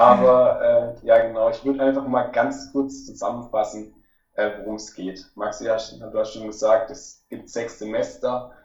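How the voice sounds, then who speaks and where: Music plays in the background as a man speaks at a fairly slow pace. His loudness swings widely. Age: 20s. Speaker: financial coach, recent graduate. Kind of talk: casual interview.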